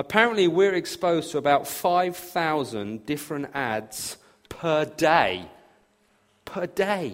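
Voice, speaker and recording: Speaking at a very slow pace, a man with a southern English accent uses lively intonation at a fairly high pitch. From southern England, near Brighton. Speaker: pastor. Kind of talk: sermon. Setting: church.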